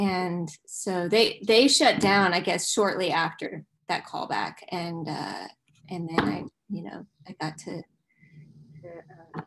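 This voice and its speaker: With an American accent, a woman at a medium pitch talks at a very slow pace over noticeable background noise. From US South, Nashville, Tennessee; Tennessee. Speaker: musician and actress; interview guest. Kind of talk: casual chat. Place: home room. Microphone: video call.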